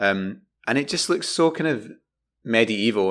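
A man speaks with a Glaswegian accent in a very clean recording with a silent background. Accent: Glaswegian, South Side. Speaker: podcast co-host. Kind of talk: casual chat.

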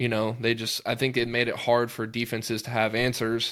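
A man with a plain, everyday voice speaks at a moderate pace and medium pitch. The recording is very clean, with a silent background. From Texas (Georgetown, near Austin). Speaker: high school football coach, podcast co-host. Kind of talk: casual chat.

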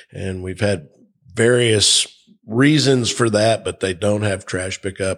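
A man's fairly low voice at a fairly slow pace, on a very clean recording with a silent background. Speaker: port commission captain. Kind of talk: casual interview. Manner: humorous.

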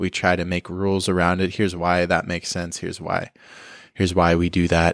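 Monotone and flat in intonation, a man talks at a very deep, low pitch. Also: fairly quick pace, dry, close sound with no echo, very clean recording, silent background. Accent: American. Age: 30s. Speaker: podcast host and entrepreneur. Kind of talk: casual interview conversation.

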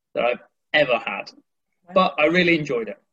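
This man speaks with a West Midlands accent. His tone is bright and sharp. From West Midlands, England (near Birmingham). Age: 20s. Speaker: English teacher. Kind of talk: casual interview.

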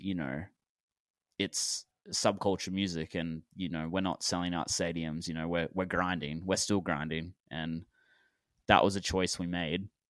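A man with a low pitch, clear, smooth tone, moderate pace and fairly even intonation.

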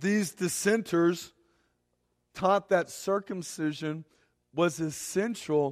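A man speaks at a very slow pace. The recording is very clean and the background silent. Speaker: pastor. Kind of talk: sermon. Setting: church.

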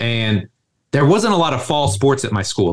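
His pace is fairly quick. The man sounds somewhat breathy and speaks with an American accent. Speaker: strength coach, gym co-founder. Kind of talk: podcast interview. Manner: casual, animated.

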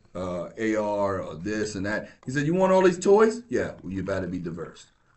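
Here a man with an American accent talks at a moderate pace. His pitch swings very widely, and the room echo is audible. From New York. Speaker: law enforcement officer. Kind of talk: casual chat.

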